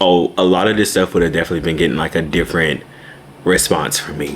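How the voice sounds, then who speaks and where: Amid noticeable background noise, a man speaks with a very deep, low pitch. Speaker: vlogger. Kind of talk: casual vlog talk to camera. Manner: fast.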